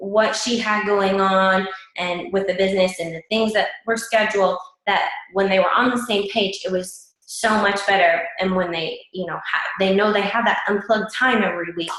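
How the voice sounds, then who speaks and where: A woman at medium pitch with fairly even intonation and a moderate pace, in audible room echo. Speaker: fitness coach team leader. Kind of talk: team call presentation.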